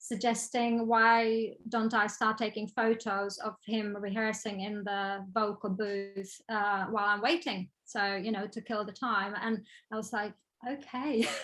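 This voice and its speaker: Against a quiet background, a woman with a Czech accent speaks fairly slowly at a fairly high pitch with fairly even intonation. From Czech Republic. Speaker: photographer and designer. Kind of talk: interview. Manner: hesitant, many fillers.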